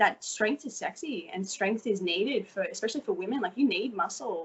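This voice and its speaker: Fairly quick and somewhat breathy, a woman speaks with a strong Australian accent, a fairly high pitch and lively intonation. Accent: Australian, still strong. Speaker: fashion model. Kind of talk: interview.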